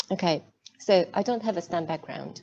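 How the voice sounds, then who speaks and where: A dark, mellow tone with vocal fry and a Hungarian accent, at a moderate pace. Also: woman. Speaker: cybersecurity executive. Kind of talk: online masterclass talk. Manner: hesitant, many fillers.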